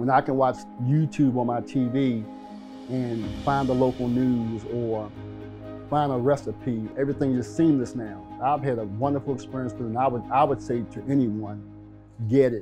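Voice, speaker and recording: A man with an American accent speaks at a moderate pace with music in the background. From Baltimore, Maryland. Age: 60s. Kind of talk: testimonial interview answer.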